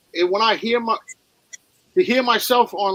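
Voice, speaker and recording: A man talks in a strong New York accent with ordinary pitch variation. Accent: thick New York. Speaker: snake breeder. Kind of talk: casual chat.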